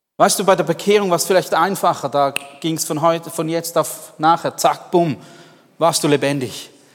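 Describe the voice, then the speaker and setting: At a moderate pace, a man speaks in a high pitch. His tone is animated and warm. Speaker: preacher. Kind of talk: sermon. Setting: church. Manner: animated, warm, earnest; direct, addressing listener as du.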